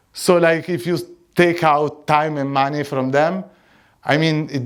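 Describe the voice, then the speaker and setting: Speaking with an Italian accent at a fairly slow pace, a man uses ordinary pitch variation on a very clean recording with a silent background. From Italy. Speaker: conference speaker. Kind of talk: conference talk. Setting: stage with audience.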